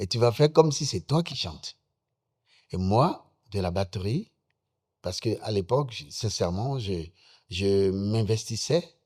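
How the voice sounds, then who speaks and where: A somewhat breathy man's voice, fairly low in pitch and fairly slow, with lively intonation, long and frequent pauses, and a very clean recording with a silent background. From Benin, Ouémé valley. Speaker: musician. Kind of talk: interview.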